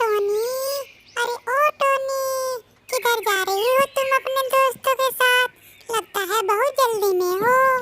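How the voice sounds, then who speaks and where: Extremely high in pitch, this cartoonish character voice moves at a fairly slow pace. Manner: lively, friendly.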